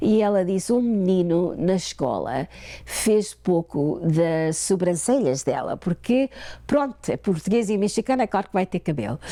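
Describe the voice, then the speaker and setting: Dark and mellow in tone, a woman's medium-pitched voice has lively intonation and very even loudness at a fairly slow pace. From Portugal, raised in Ontario, Canada. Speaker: author and church women's ministry leader. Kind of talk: interview. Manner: halting.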